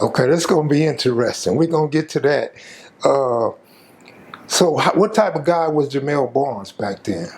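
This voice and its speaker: Amid noticeable background noise, a man talks at a moderate pace with a fairly high pitch and lively intonation. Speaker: interviewer. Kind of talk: interview questions.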